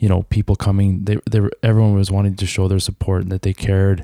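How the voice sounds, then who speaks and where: This man has a very deep, low pitch and a dark, mellow tone. He speaks with a Canadian prairie accent. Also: dry, close sound with no echo. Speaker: guest sharing life story. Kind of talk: testimony.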